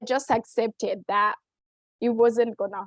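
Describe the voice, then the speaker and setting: A fairly slow, monotone delivery with flat intonation and a non-native accent. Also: woman. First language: not English. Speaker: nonprofit professional. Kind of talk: panel talk. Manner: halting, many fillers.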